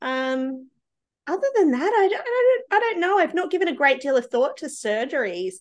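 A woman speaks at a moderate pace with very wide pitch swings. The background is quiet. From Australia. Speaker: early childhood educator. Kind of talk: casual chat.

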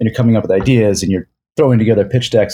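Speaking in an American accent, a man has a fairly low pitch, a dark, mellow tone and fairly even intonation. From suburban Philadelphia. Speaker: filmmaker. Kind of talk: casual interview chat.

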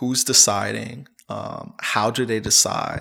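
There is noticeable background noise as a man speaks with an American accent. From United States. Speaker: journalist and media literacy educator. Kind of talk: interview.

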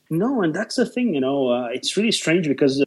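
A man with a Brazilian Portuguese accent. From southern Brazil. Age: 30s. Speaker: photographer. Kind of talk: interview conversation.

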